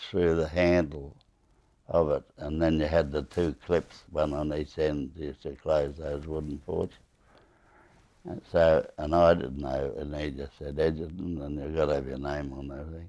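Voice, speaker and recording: A man with an Australian accent speaks at a very deep, low pitch. His delivery is fairly slow and monotone, flat. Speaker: war veteran. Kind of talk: interview storytelling. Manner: halting, many fillers and repetitions.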